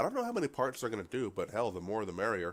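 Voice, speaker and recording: A man's voice at a medium pitch. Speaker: gaming YouTuber. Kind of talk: video reaction commentary. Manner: casual, conversational.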